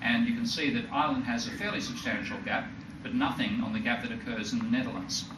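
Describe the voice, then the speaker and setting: A man with an Australian accent talks at a very fast pace and fairly high pitch, making very wide pitch swings. Noticeable background noise and audible room echo fill the recording. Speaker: economist. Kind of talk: lecture. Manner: halting, with frequent self-corrections.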